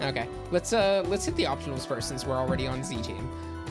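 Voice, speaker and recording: Music plays in the background while the speaker talks at a fairly quick pace. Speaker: video game reviewer. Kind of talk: casual group conversation, game review.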